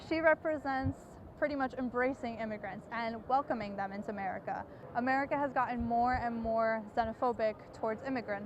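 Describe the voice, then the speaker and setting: Fairly quick in pace, a woman speaks in an unremarkable speaking voice. Her pitch is fairly high, with ordinary pitch variation. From came to the US from Croatia at age five. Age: 20s. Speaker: undocumented college student. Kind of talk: personal testimony.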